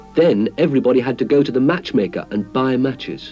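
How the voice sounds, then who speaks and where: A man talks at a moderate pace with lively intonation. Music plays in the background. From British. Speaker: actor. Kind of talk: children's story narration.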